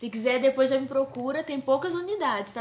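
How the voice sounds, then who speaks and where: Fairly quick speech from a woman, its pitch varying in an ordinary way. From Brazil, São Paulo. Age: 20s. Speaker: theology student and book co-author. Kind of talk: casual talk to camera. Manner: informal, chatty.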